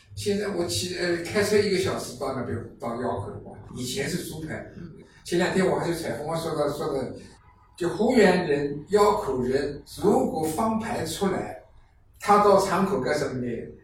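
Noticeable background noise and audible room echo surround a man's high-pitched voice. He speaks at a moderate pace with lively intonation. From Fuyang, Zhejiang. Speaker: folk performing arts enthusiast and artist. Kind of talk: casual chat.

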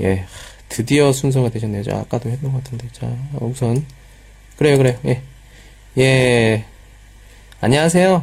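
A somewhat breathy man at a medium pitch speaks at a moderate pace with ordinary pitch variation and long, frequent pauses. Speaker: Korean language teacher. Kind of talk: lecture. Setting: live stream with chat.

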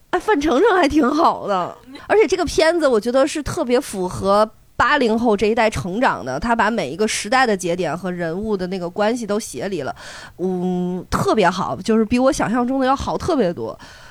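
Her fairly high voice takes very wide pitch swings as this woman speaks in an animated tone. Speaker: comedian, podcast co-host. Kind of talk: casual chat.

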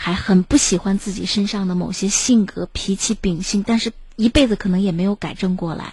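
Her voice is somewhat breathy, at a medium pitch for a woman. She keeps a moderate pace and fairly even intonation. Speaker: radio host. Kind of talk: live radio phone-in show. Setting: studio. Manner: warm, fluent, formal.

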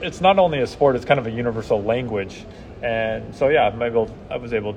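A man speaks at a fairly quick pace with an American accent. His pitch is medium, and noticeable background noise is heard. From Washington State, US. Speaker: sports communications manager, former Olympic skier. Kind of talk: interview. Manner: hesitant, many fillers.

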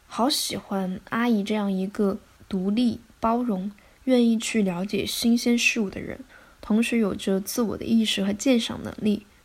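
Somewhat breathy and fairly high in pitch, a woman speaks at a fairly slow pace with fairly even intonation. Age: 20s. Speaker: podcast host. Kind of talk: scripted solo narration.

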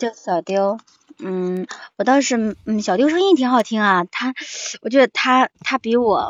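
A woman talks at a fairly slow pace in a fairly high pitch. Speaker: audiobook narrator. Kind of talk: casual chat. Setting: livestream mic link.

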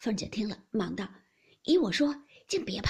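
What we hear is an unforced reading voice.

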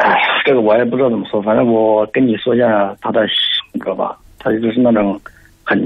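Noticeable background noise sits behind a man speaking at a moderate pace. His pitch is medium, his intonation monotone and flat, and his loudness very even. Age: 30s. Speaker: caller. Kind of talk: phone-in consultation.

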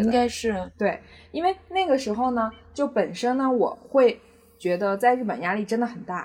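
Her intonation is lively. The woman speaks at a fairly high pitch and a moderate pace. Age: 20s. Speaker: podcast guest sharing personal love story. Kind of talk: casual interview chat. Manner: hesitant, many fillers.

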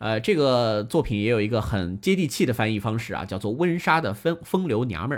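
Very wide pitch swings from a man at a fairly quick pace, hardly any pauses, on a very clean recording with a silent background. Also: medium pitch for a man. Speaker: classical music radio host. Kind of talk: live-streamed music talk show with listener interaction. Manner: casual, many filler particles.

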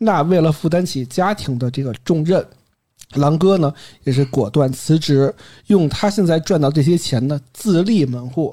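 On a very clean recording with a silent background, a man speaks at a moderate pace in a fairly high voice with a dark, mellow tone and ordinary pitch variation. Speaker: podcast host. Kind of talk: casual storytelling chat. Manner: occasionally trips over words.

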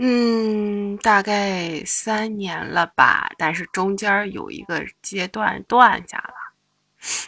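A woman speaks very slowly with hardly any pauses in a medium pitch. Her intonation is fairly even, while her loudness swings widely. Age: 20s. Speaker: caller. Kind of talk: casual chat.

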